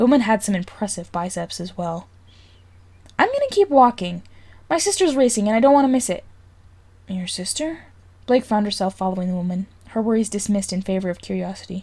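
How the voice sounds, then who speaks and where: A woman of medium pitch speaks at a fairly quick pace with lively intonation, though she leaves long, frequent pauses. Her voice is somewhat breathy. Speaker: fanfiction reader. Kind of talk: audiobook-style story reading.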